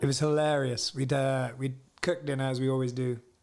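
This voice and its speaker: Music plays in the background as a man of medium pitch talks at a fairly quick pace in a monotone, flat delivery. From Scotland. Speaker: singer-songwriter. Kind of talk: casual chat.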